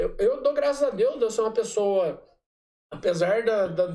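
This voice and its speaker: This is a man's voice. He keeps a moderate speed, and his intonation rises and falls in a lively way. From Brazil, Aparecida (Goiás). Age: 30s. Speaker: city councillor. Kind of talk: casual chat.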